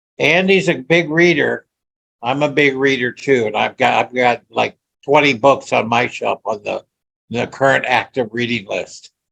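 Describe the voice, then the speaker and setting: The man's voice sits at medium pitch with vocal fry and ordinary pitch variation. He talks at a moderate pace in a dry, close sound with no echo. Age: 70s. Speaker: veteran salesman. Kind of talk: casual chat. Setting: video call. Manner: halting, repeats words.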